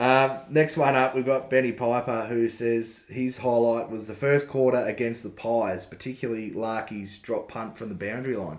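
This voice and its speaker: A man with an Australian accent speaks at medium pitch and a moderate pace. His intonation is fairly even and he barely pauses. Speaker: podcast co-host. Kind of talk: casual chat.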